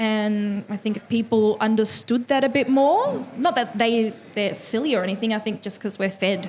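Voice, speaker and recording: Somewhat breathy, a woman with an Australian accent speaks at a fairly high pitch with fairly even intonation. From Melbourne, Dandenong. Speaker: hip-hop panelist. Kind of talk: panel discussion. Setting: live panel in a lounge venue.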